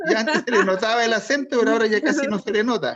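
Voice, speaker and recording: A man speaks with a Chilean accent at an extremely high pitch. His pace is fairly quick, and his pitch variation is ordinary. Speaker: college teacher. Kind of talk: online class, roll call.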